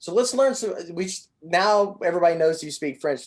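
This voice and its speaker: A man speaks at a moderate pace. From Southern Indiana. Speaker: podcast host. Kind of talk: interview. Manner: casual, many fillers.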